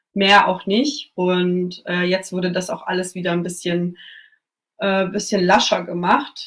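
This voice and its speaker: The speech is very slow, with fairly even intonation. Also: woman, medium pitch for a woman. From Germany. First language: Russian (speaking German). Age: 20s. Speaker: journalist. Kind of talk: radio interview.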